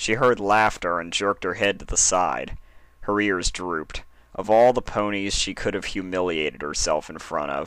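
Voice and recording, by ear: Aloud and in a natural voice, the text is read.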